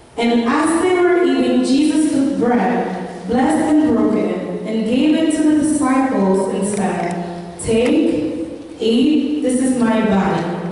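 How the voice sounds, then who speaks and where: Speaking very slowly in a high voice, a woman swings her pitch very widely amid strong room echo. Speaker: scripture reader. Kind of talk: scripture reading. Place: church. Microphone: pa.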